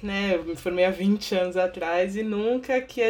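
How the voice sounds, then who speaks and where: Against a quiet background, a woman speaks at medium pitch with fairly even intonation. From Baixada Santista, São Paulo state, Brazil. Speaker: podcast co-host, social worker. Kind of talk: interview.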